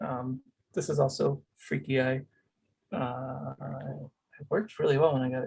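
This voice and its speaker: Somewhat breathy, a man speaks at a medium pitch. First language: Spanish. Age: 30s. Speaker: cactus grower. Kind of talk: casual interview. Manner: halting, many fillers.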